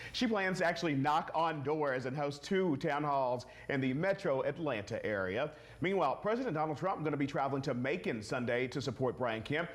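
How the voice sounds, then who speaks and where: In a plain, everyday voice, a man talks fairly quickly at a fairly high pitch with lively intonation. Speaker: TV news co-anchor. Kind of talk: TV news anchoring.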